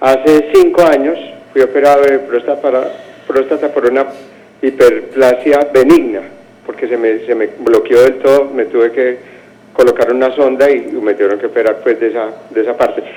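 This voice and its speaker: Noticeable background noise runs under the recording. Over it, a man speaks at a moderate pace. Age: 60s. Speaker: caller. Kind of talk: phone-in question. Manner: halting.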